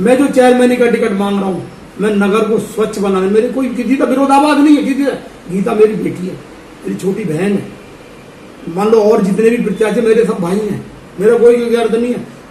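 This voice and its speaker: High male voice at a moderate pace with ordinary pitch variation, noticeable background noise and audible room echo. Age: 60s. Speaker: local politician. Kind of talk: interview.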